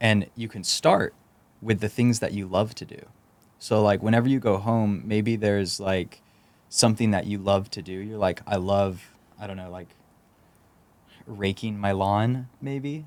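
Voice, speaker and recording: Speaking in a Texan accent, a man with a fairly low pitch keeps his intonation fairly even and leaves long, frequent pauses. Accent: Texan American. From Texas, San Antonio. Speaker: startup founder. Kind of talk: podcast interview. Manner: halting, many fillers and repeats.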